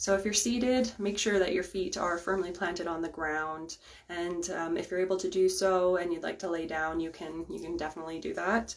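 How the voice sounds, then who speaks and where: A woman with a fairly low pitch talks with hardly any pauses and fairly even intonation. Hers is an unremarkable speaking voice. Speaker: Reiki master and guided meditation host. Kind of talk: guided meditation. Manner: slow, calm, soft-spoken.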